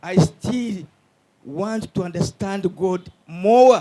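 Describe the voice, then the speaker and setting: A man speaks at a high pitch. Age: 80s+. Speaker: priest. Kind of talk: public consultation meeting.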